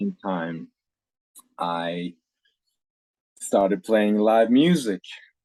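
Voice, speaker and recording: Speaking with a Faroese accent at a very slow pace, the voice has a dark, mellow tone, lively intonation and long, frequent pauses in a dry, close sound with no echo. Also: man, fairly low pitch for a man. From Faroe Islands. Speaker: singer-songwriter. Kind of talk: casual interview chat.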